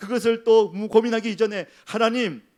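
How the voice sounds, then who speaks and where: A man with a Daegu accent. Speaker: senior pastor. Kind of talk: sermon. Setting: church. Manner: fast.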